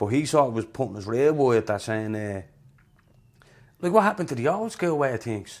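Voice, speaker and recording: Here a man speaks in a strong Dublin accent at medium pitch and a fairly quick pace, with long, frequent pauses. The recording is very clean, with a silent background. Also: lively intonation. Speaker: rapper. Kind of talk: casual podcast chat.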